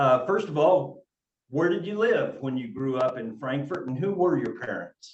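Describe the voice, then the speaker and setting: Speaking at a moderate pace, a man with a plain, everyday voice pitched fairly high uses lively intonation. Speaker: librarian, interview host. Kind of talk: interview host talk.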